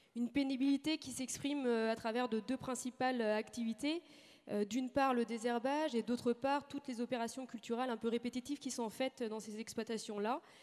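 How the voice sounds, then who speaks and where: At a fairly quick pace, a woman talks in a high voice with fairly even intonation. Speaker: agricultural research station manager. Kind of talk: conference talk. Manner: hesitant, many fillers.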